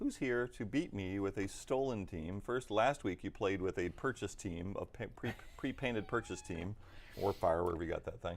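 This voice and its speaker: Talking at a moderate pace, a man with an unremarkable speaking voice has a fairly low pitch and ordinary pitch variation. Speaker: tabletop gaming stream host and hobby store runner. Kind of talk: live stream game commentary. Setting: hobby store, live stream.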